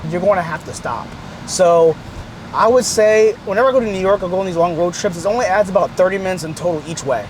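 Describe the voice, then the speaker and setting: Noticeable background noise accompanies a man with a high pitch and ordinary pitch variation. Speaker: car YouTuber. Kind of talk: casual vlog review. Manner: halting, repetitive; casual, slangy.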